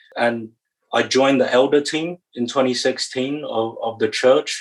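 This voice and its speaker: A man with a British accent speaks at a moderate pace in a medium pitch. His pitch varies in an ordinary way. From England. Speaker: church stewardship director. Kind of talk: podcast interview.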